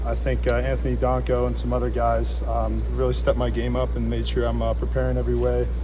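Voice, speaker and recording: A man's very deep, low voice at a very fast pace with hardly any pauses, amid noticeable background noise and audible room echo. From Pennsylvania. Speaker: college football player. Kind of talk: press interview. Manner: halting.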